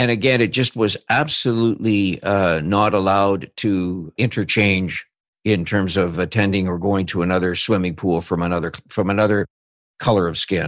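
A plain, everyday voice, a man's, fairly low in pitch with ordinary pitch variation, at a moderate pace over a quiet background. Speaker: podcast host and interviewer. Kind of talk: interview.

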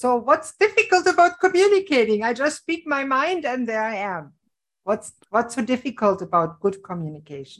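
A woman speaks in a German accent at a moderate pace. Her voice is high, with very wide pitch swings. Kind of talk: interview.

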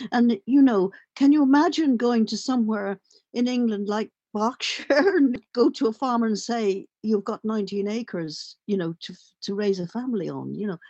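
A woman speaks with a Dublin accent at a moderate pace. Her pitch is fairly high, with ordinary variation. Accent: Dublin Irish. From Ireland, Dublin. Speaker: journalist and playwright. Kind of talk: interview conversation.

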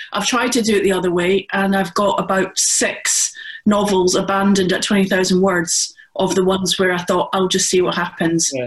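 A woman with a Scottish accent speaks at a moderate pace and medium pitch, her loudness very even and her intonation fairly even, with noticeable background noise behind her. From Scotland. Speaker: crime author. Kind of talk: panel discussion.

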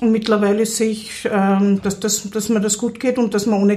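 In a fairly high pitch, a woman speaks at a moderate pace with monotone, flat intonation, a dark, mellow tone and a somewhat breathy quality. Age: 30s. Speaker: psychiatric patient. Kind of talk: interview testimony. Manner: halting.

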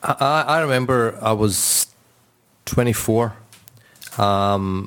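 The speaker is a man with a Scottish accent. His pitch is fairly low and his intonation fairly even. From Scotland. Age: 40s. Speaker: Islamic scholar. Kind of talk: casual panel discussion. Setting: studio.

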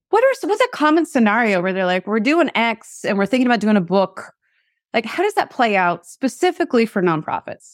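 A woman with an American accent talks at a fairly quick pace and fairly high pitch. Her pitch swings very widely in a dry, close sound with no echo. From Seattle, US Pacific Northwest. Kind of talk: casual interview conversation. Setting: remote call. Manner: fast talker.

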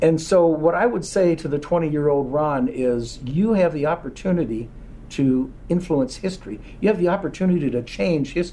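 A man speaks with a dark, mellow tone and lively intonation. His pitch is fairly high and his pace moderate. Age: 60s. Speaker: company founder. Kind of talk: interview. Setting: in-person at company headquarters.

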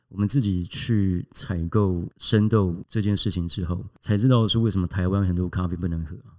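Using fairly even intonation, a man with a very deep, low pitch speaks at a moderate pace with hardly any pauses. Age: 40s. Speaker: coffee company founder and hotel executive. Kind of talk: interview conversation.

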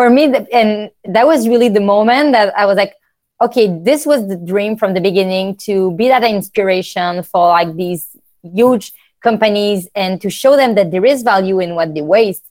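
With a French accent, a woman speaks at a moderate pace and medium pitch with ordinary pitch variation. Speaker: startup founder. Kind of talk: casual interview.

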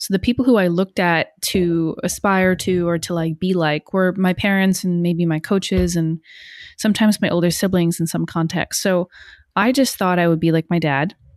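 In an American accent, a woman with an ordinary speaking voice talks at a moderate pace and a fairly low pitch with fairly even intonation, on a very clean recording with a silent background and a dry, close sound with no echo. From US Northeast, northern New Jersey. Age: 30s. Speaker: leadership coach. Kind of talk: casual interview chat.

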